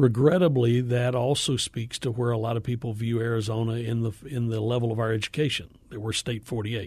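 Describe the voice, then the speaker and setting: A man with a medium pitch and a somewhat breathy voice talks at a fairly quick pace with hardly any pauses and fairly even intonation. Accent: American. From US South, Appalachian northeast Georgia. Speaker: education nonprofit executive. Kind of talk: radio interview.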